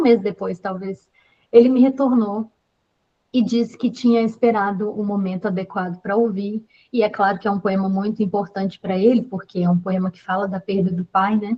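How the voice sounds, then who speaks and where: A woman's somewhat breathy voice at a medium pitch and a moderate pace. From Brazil, Belo Horizonte. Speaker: singer-songwriter. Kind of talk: storytelling in an online panel talk.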